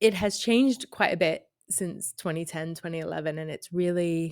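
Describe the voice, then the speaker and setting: A woman's fairly low voice with an American accent and ordinary pitch variation, dry and close with no echo, on a very clean recording with a silent background. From US, New York. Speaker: university lecturer. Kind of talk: podcast interview.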